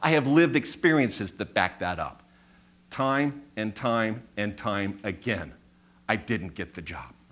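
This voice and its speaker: A man with vocal fry and a bright, sharp tone speaks at a moderate pace, his loudness swinging widely on a very clean recording with a silent background. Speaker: public speaker. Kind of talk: live stage talk. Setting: live audience. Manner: storytelling.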